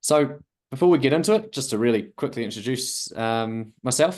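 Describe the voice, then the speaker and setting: Someone speaks at a fairly quick pace in a New Zealand accent, against a quiet background. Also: man. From southern New Zealand. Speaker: account executive presenting webinar. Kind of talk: webinar presentation. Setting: online webinar.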